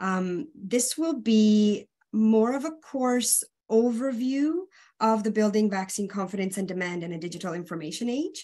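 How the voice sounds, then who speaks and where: At a moderate pace, a woman speaks with a fairly high pitch and lively intonation. Her voice is somewhat breathy, with a dark, mellow tone. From Romania. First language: Hungarian. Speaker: public health consultant and nurse educator. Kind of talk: webinar presentation. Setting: online webinar.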